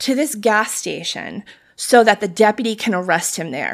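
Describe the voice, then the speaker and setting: In a very clean recording with a silent background, a woman with a plain, everyday voice speaks at a moderate pace and fairly high pitch. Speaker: podcast co-host. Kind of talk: casual chat.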